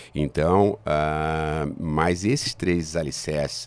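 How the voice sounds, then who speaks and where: A man with a very deep, low voice and fairly even intonation. The recording is very clean, with a silent background. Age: 60s. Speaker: business founder and professor. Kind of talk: interview. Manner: halting, many fillers and repetitions.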